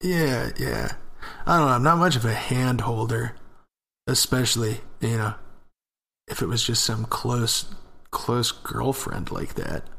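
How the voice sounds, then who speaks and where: A man with a medium pitch and ordinary pitch variation speaks at a fairly slow pace with long, frequent pauses. His tone is bright and sharp, with vocal fry. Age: 20s. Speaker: podcast co-host. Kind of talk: casual chat.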